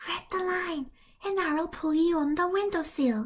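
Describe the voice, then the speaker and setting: A woman's put-on character voice at an extremely high pitch. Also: moderate pace. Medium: read story.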